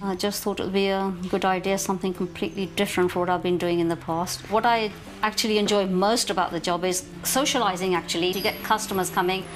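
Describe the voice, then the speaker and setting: Very fast with hardly any pauses, the speech stays at a very even loudness in a monotone, flat intonation while music plays in the background. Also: woman, medium pitch for a woman. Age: 60s. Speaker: small business owner. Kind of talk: interview testimony.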